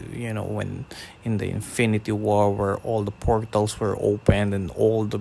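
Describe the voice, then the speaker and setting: With a Filipino accent, a man talks in a fairly low voice and a monotone, flat delivery. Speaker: podcaster. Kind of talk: casual podcast talk.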